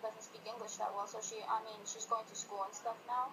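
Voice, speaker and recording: Over noticeable background noise, a woman with a Spanish accent speaks at a fairly high pitch with a monotone, flat intonation. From Colombia. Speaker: student. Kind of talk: interview answers. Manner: hesitant, many fillers.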